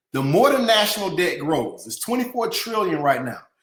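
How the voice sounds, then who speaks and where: A man with a Southern US accent, animated and fairly quick, with very wide pitch swings and audible room echo. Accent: Southern US (Georgia). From US South, Atlanta, Georgia. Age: 30s. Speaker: company CEO, financial educator. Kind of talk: webinar presentation.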